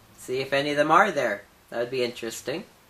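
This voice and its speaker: A man's voice over noticeable background noise. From Saskatoon, Canada. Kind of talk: interviewer questions.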